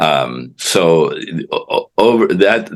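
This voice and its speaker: A man talks with vocal fry at a very deep, low pitch. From Colorado (Pueblo), born in Cuba. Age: 70s. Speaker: author, former mayor. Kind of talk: interview. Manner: halting, many fillers and repetitions.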